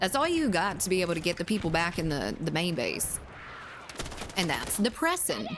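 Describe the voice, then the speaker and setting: A Southern US accent at a moderate pace. Noticeable background noise sits behind the voice. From Zimbabwe. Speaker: gaming streamer. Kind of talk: live gameplay stream chat. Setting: live stream reading chat. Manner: casual, halting with fillers.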